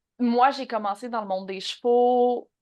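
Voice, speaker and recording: A woman with a Quebec accent speaks at a fairly slow pace with ordinary pitch variation against a quiet background. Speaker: horse behaviourist and online trainer. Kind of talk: podcast interview.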